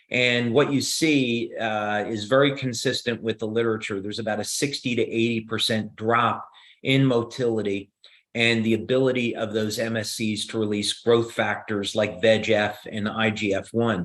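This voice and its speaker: At a moderate pace, a man with a New Jersey accent speaks in a monotone, flat intonation. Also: medium pitch for a man. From US Northeast, New Jersey. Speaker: company founder and inventor. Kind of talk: live Q&A on video call. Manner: halting, many fillers.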